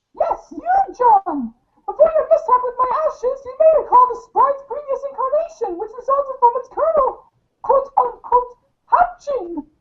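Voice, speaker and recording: This is a put-on character voice, squeaky and extremely high in pitch. It moves along at a moderate pace. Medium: audio drama. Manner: warm, grandmotherly, calls the listener dear.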